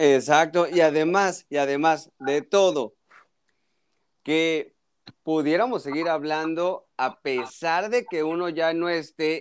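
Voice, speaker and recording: Pitched fairly high, a man speaks in an animated tone. His pitch varies in an ordinary way. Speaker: doctor. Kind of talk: casual chat.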